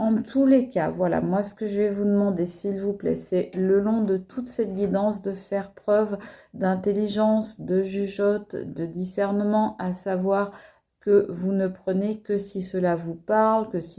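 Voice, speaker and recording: Flat, monotone intonation marks this woman's middle-pitched voice as she talks very slowly. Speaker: tarot card reader. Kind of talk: tarot reading video. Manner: hesitant, many fillers.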